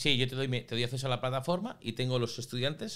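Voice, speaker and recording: A man with a Spanish accent at a fairly quick pace, with ordinary pitch variation. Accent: Spanish (Spain). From Spain. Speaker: school founder and migrant; podcast guest. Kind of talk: interview. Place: studio. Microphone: studio mic.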